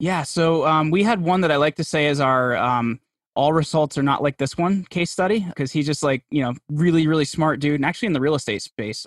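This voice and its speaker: Someone with a New Jersey accent talks at a fairly quick pace with hardly any pauses. The background is quiet, and the sound is dry and close with no echo. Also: man, fairly high pitch for a man, ordinary pitch variation. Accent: New Jersey American. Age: 30s. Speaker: podcast host and PR agency founder. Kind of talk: interview conversation.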